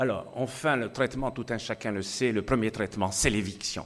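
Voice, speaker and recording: A man with an Algerian accent, medium pitch and moderate pace, against a quiet background. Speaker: physician speaking at medical congress. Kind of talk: conference talk. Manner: hesitant, repeats words.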